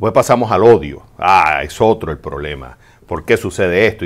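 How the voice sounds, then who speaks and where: Pitch varies in an ordinary way as a man talks at a moderate pace. The background is quiet. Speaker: advice show host. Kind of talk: advice answer to a listener. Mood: calm, empathetic. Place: studio. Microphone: studio mic.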